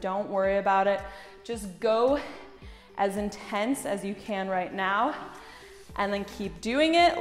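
Faint music sits behind a woman speaking at a fairly slow pace. The room echo is audible. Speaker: fitness instructor. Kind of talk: workout instruction.

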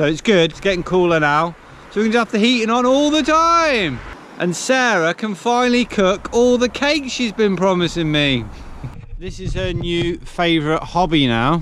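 In a dry sound with no echo and light background noise, a man speaks at a moderate pace with high pitch and very wide pitch swings. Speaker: van life vlogger. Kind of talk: casual vlog chat. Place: open country. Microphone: phone near.

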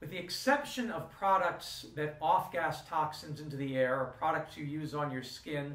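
A man talks at a fairly high pitch and a moderate pace. Noticeable background noise sits behind him. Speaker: university instructor. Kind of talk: lecture.

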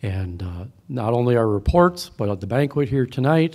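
A man's medium-pitched voice comes through against a quiet background. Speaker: speaker introducer, organization member; event host. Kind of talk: prepared introduction speech. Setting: banquet hall with live audience. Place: hall. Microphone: podium.

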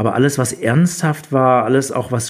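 A man speaks fairly slowly with fairly even intonation, in an unremarkable speaking voice. The recording is very clean, with a silent background. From southwest Germany, near Rottweil. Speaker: photographer and photobook author. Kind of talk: casual chat.

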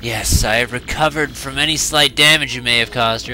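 Putting on a character voice, a man speaks at a fairly quick pace and medium pitch over clear background noise. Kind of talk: villain monologue. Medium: solo performance. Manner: imperious, menacing, scornful.

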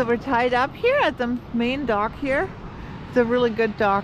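There is clear background noise behind a woman with a fairly high pitch. She talks at a moderate pace with ordinary pitch variation.

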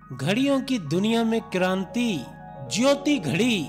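Music plays behind a man whose high-pitched voice has lively intonation. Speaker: voice-over artist. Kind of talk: TV commercial read.

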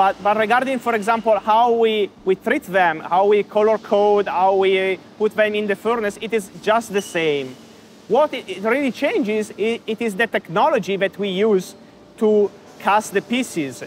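Over light background noise, a man with a high pitch talks at a moderate pace with ordinary pitch variation. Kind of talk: interview answer. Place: factory. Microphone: lapel.

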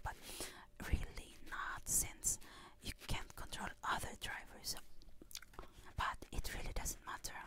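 Whispering, a woman speaks at a very slow pace with long, frequent pauses. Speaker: ASMR creator. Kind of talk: ASMR personal talk. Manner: whispered; chewing gum while speaking. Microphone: studio mic.

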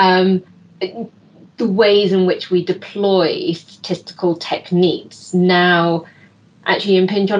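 Speaking fairly slowly with a British accent, a woman keeps a flat monotone and very even loudness. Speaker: expert giving closing remarks; panel discussant. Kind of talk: closing remarks. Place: home room. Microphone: video call.

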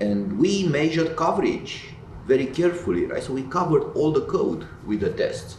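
A man talks at a moderate pace. There is audible room echo and light background noise. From Romania. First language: Romanian. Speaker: tech company founder and computer scientist; interviewee. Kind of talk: interview. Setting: in-person event. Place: office.

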